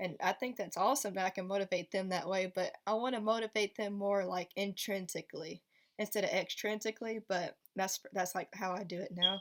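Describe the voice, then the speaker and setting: A woman with a normal speaking voice, medium pitch, fairly even intonation and a fairly quick pace, in a dry, close sound with no echo and a very clean, silent-background recording. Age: 20s. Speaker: special education teacher. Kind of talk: casual vlog Q&A. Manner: casual, filler-heavy.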